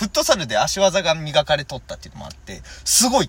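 An animated male voice at a moderate pace. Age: 20s. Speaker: comedian. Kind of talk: casual chat.

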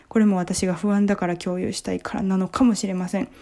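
A woman's voice, medium in pitch and dark, mellow in tone, somewhat breathy, very fast and flat in a monotone delivery. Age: 20s. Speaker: comedian and podcast host. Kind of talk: casual book review monologue.

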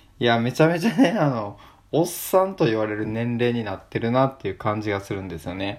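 At a fairly quick pace, a man with a normal speaking voice talks at a medium pitch with lively intonation on a very clean recording with a silent background. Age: 20s. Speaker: podcaster. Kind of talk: solo casual talk.

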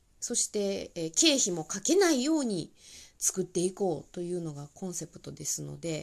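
A woman with a Kansai accent speaks at a fairly slow pace in a fairly low pitch, her tone animated and her intonation lively, on a very clean recording with a silent background. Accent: Kansai Japanese. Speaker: tax accountant and comedian podcast host. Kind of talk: casual solo talk.

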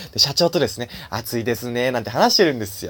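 Man with a cheerful tone and vocal fry at a very fast pace, dry, close sound with no echo. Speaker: solo podcaster and comedian. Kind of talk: casual solo monologue. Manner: halting, many fillers; cheerful, laughing.

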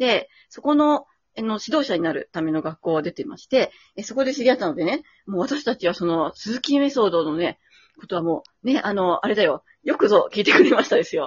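Speech comes at a fairly quick pace. Its pitch moves in very wide swings. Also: woman, fairly high pitch for a woman. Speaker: violinist and podcast co-host. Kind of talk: casual chat. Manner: hesitant, many fillers; lively.

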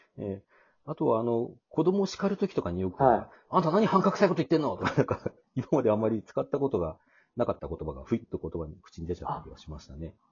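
A man talks at a very fast pace in a medium pitch with vocal fry. His pitch swings very widely, and his loudness rises and falls in big swings. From Hokkaido, Hakodate. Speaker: podcaster. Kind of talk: casual chat.

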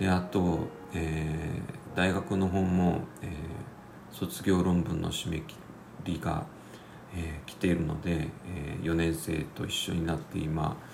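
Through audible room echo and noticeable background noise, a man drones in a monotone at a very deep, low pitch and a very slow pace. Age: 50s. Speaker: podcaster and civil engineer. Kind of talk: casual solo talk. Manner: hesitant, many fillers.

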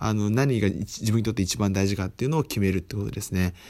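In a very clean recording with a silent background, a man speaks with a fairly low pitch. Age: 20s. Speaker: podcast host, freelancer. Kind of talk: solo book review talk. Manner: many fillers, hesitant.

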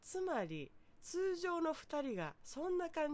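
A woman speaks with very wide pitch swings. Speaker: podcaster. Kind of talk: solo talk monologue.

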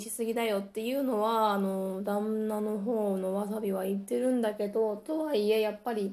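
A woman's fairly high, dark and mellow voice, relaxed in tone, with fairly even intonation at a moderate pace. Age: 30s. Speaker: solo podcaster. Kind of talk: casual monologue. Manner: relaxed, chatty.

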